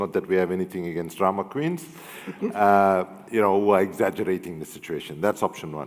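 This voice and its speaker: The speaker has an African accent. The pace is fairly quick. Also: man. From South Africa. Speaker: human rights and environmental activist. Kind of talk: panel discussion with audience.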